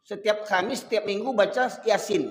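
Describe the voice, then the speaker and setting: An animated man with a high pitch, lively intonation and audible room echo. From Sumatra, Medan. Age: 50s. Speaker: Islamic preacher. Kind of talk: sermon.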